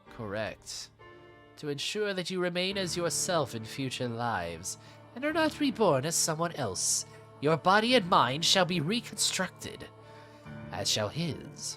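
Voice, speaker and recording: Over clear music in the background, a man puts on a character voice, high in pitch and delivered at a moderate pace. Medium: read story. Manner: smooth, insinuating, coaxing.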